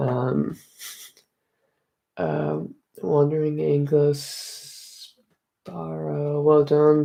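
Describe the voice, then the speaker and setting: This man has a fairly high pitch and an Irish accent. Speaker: Irish music streamer. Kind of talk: live stream chat reading comments. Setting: home live stream. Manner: soft-spoken.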